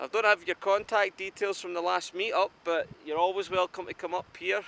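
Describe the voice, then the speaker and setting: A man with a Scottish accent speaks at a fairly quick pace in a bright, sharp tone. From Scotland. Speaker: outdoor vlogger. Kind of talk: casual vlog talk to camera. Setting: outdoors on a mountain.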